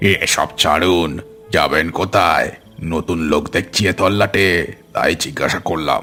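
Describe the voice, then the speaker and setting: A man performs a cartoonish character voice at a very deep, low pitch, with fairly even intonation and a fairly slow pace. Faint music plays in the background. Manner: chuckling, ingratiating.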